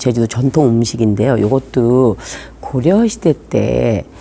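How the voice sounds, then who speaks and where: A woman's voice over noticeable background noise. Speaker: tour guide. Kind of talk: explanatory talk to camera.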